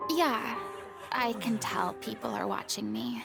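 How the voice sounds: In a put-on character voice, a woman speaks at a fairly slow pace with a fairly high pitch, a fairly bright tone, vocal fry and big pitch swings, with faint music in the background.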